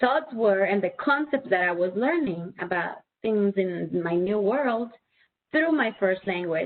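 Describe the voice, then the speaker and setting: In a Spanish accent, a woman speaks at a fairly slow pace. Her fairly high voice has lively intonation. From Spanish-speaking country. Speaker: presenter for parents. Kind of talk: webinar presentation.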